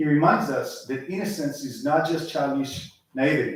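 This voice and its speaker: Amid audible room echo, a man with an Israeli accent speaks at a moderate pace and fairly high pitch, with ordinary pitch variation. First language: Hebrew. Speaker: lay speaker at synagogue service. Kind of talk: sermon.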